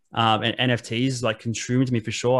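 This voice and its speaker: Against a quiet background, a man with an Australian accent speaks. His voice is medium in pitch and monotone, with flat intonation. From Australia, Wollongong. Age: 30s. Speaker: reseller and podcaster. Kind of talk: casual interview chat.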